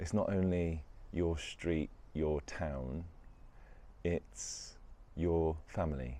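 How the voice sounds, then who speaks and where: Very slowly and with long, frequent pauses, a man speaks in a very deep, low, dark, mellow voice with ordinary pitch variation and very even loudness. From West Midlands, England. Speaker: spiritual self-help vlogger. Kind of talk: reflective monologue. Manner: casual, with hesitations.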